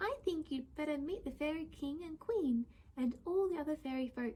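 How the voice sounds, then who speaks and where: A woman puts on a squeaky, high-pitched character voice with a gentle tone, speaking at a moderate pace. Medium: read story. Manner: thoughtful, gentle.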